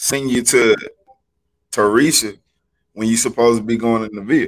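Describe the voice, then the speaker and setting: An American-accented man with a medium pitch speaks in an animated tone at a moderate pace, with ordinary pitch variation. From Alabama, US South. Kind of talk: casual faith discussion.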